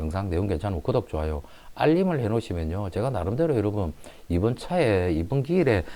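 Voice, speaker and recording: A man talks at a very fast pace at a fairly low pitch, his dark, mellow tone swinging very widely in pitch. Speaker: real estate auction agent. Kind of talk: property explainer and pitch.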